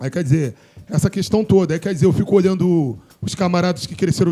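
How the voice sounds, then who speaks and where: Talking at a fairly quick pace, a man has a high pitch and a dark, mellow tone. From Brazil, Morro Agudo (Rio de Janeiro area). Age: 40s. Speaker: DJ and show host. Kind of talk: casual group discussion.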